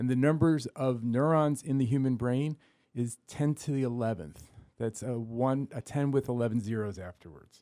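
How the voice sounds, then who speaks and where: With a dark, mellow tone, a man speaks at a moderate pace in a medium pitch with ordinary pitch variation. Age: 60s. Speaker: neuroscientist. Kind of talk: interview.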